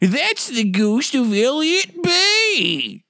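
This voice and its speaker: In a put-on character voice, a female-sounding speaker talks at a high pitch for a woman. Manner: put-on spooky voice.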